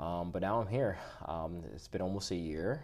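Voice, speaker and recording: Speaking at a fairly slow pace, a man with an American accent and a very deep, low pitch is heard with audible room echo. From US Northeast, New Jersey and New York. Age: 30s. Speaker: podcast guest. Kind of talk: casual chat.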